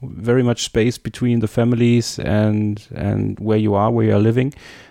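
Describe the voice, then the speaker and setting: A man's fairly low, dark, mellow voice at a moderate pace, with fairly even intonation and a dry, close sound with no echo. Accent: German. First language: German. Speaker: podcast host. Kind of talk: interview.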